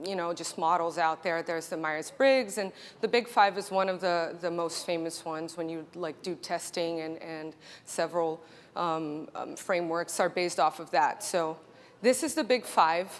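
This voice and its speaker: With a Brazilian accent, a woman speaks at a moderate pace. Her pitch is fairly low. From Brazil (Rio de Janeiro). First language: Portuguese. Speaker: marketing executive. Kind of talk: conference keynote.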